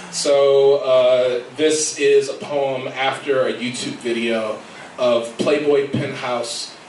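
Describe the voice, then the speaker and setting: A man speaks in a flat monotone at a medium pitch. There is audible room echo and light background noise. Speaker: poet. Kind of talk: spoken word poetry reading at open mic. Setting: stage with audience. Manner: rhythmic, image-dense free verse delivery; casual, slightly halting intros between poems. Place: cafe. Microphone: camera far.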